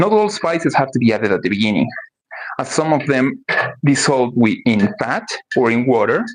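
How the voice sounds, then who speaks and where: Speaking in a Spanish accent, a man moves at a moderate pace with very wide pitch swings and long, frequent pauses. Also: medium pitch for a man. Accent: Spanish-speaker accent in English. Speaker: cooking streamer. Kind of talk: live cooking stream. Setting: livestream at home kitchen.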